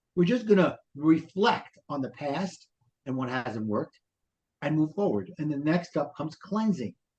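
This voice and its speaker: Someone with a Brooklyn accent speaks at a moderate pace with lively intonation. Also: man. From Brooklyn, New York. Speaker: life coach and author. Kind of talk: podcast interview.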